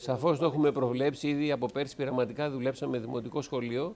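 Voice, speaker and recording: This man's voice sits fairly high, and he keeps up a fairly quick pace. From Greece (Piraeus). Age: 60s. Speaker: school director and theology teacher. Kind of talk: interview talk. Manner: halting with fillers.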